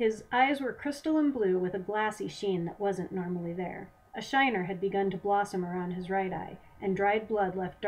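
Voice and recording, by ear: A passage is read out. The delivery is reading aloud in a natural voice.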